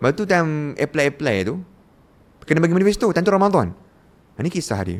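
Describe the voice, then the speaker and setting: His pitch makes very wide swings. This man's delivery is very fast. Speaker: former student leader sharing his story. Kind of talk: interview.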